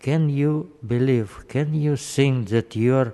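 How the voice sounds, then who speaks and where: A man's very slow speech, dark and mellow in tone, with ordinary pitch variation. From Soviet Union. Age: 80s+. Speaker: public commenter. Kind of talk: public comment. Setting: city council chamber. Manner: impassioned.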